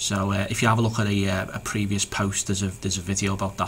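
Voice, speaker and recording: With a Liverpool accent, a man speaks at a fairly low pitch in a monotone, flat intonation amid noticeable background noise. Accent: Liverpool (Scouse). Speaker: SEO business owner. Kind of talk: tutorial. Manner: halting, many fillers and repeats.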